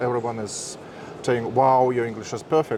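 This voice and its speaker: With a Russian accent, a man talks at a fairly quick pace over noticeable background noise. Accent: Russian, harsh. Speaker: interviewer, marketer. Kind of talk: interview.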